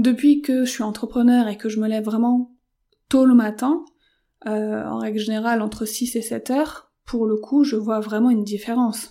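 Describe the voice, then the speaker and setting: Dark, mellow tone from a woman at a fairly high pitch, with fairly even intonation and a moderate pace. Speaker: podcaster and freelance entrepreneur. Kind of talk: casual solo monologue. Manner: hesitant, many fillers.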